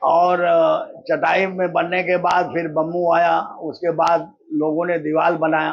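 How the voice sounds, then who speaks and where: A man's high-pitched voice, monotone and flat, at very even loudness. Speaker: slum resident. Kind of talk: interview.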